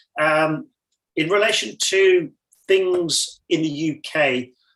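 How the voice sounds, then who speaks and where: A man's bright, sharp tone carries fairly even intonation. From northern England, Newcastle. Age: 60s. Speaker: cameraman, invited speaker. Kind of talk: casual talk at online language exchange.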